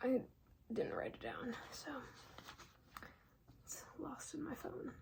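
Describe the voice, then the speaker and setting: There is noticeable background noise. Over it, a woman talks. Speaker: ASMR educational content creator. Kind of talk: educational ASMR, casual talk to camera. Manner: soft-spoken, casual, conversational.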